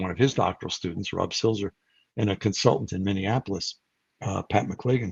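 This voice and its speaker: A man's somewhat breathy voice at a very fast pace, with ordinary pitch variation. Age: 70s. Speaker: psychology professor and researcher. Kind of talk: interview. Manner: conversational with fillers.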